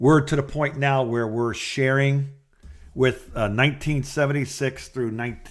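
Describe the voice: A man's medium-pitched voice at a fairly slow pace, with fairly even intonation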